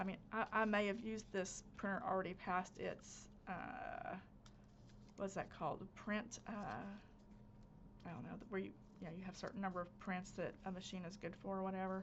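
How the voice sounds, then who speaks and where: With a Southern US accent and vocal fry, a woman speaks at a moderate pace, taking long, frequent pauses. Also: medium pitch for a woman, fairly even intonation. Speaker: crafter, channel host. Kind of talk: casual craft-along chat. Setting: home craft space, recorded instead of live.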